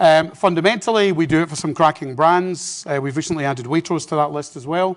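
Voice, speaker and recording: Talking at a very fast pace in a Scottish accent, a man uses a fairly high pitch with ordinary pitch variation. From Scotland. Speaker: business executive, keynote speaker. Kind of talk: conference keynote. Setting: stage with audience. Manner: humorous, conversational.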